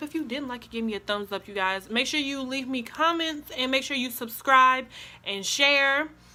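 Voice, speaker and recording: Here a woman raises and projects her high voice. She talks at a fairly quick pace. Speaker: YouTuber. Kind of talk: storytime vlog. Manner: monotone.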